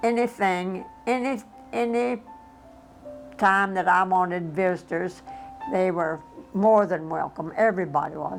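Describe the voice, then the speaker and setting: With music in the background, the speech has lively intonation, a fairly slow pace and long, frequent pauses. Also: woman, medium pitch for a woman. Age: 80s+. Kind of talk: interview answer.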